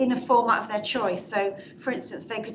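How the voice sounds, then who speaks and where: A woman keeps a moderate pace and fairly even intonation. The room echoes audibly, and background noise is noticeable. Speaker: audience member, public sector manager. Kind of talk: Q&A contribution at a talk.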